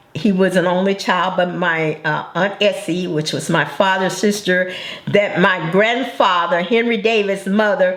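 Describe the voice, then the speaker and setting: Noticeable background noise behind a woman's fairly slow, medium-pitched speech with fairly even intonation. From Arkansas. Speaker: grandmother. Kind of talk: interview answer.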